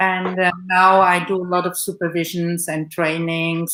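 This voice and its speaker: Bright and sharp in tone, a woman speaks at a medium pitch with a German accent. Her pace is fairly slow. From Romania-born Saxon, raised in Germany. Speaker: psychotherapist and art therapist. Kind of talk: live broadcast panel introduction. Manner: halting, many fillers.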